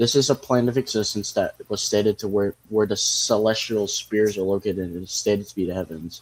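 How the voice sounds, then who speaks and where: An ordinary speaking voice from a man, fairly low in pitch and fairly quick, with hardly any pauses, fairly even intonation and big swings in loudness. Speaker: streamer. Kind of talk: casual livestream commentary.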